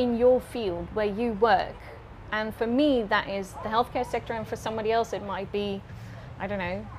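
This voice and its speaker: Her fairly high voice moves at a moderate pace as the woman speaks with fairly even intonation. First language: Dutch. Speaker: climate-focused doctor. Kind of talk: interview. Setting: in a mobile tour studio.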